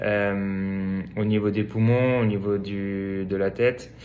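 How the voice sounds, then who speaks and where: The speech moves at a very slow pace. Audible echo fills the room. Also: man. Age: 20s. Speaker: swimrun athlete. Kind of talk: interview. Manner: hesitant, many fillers.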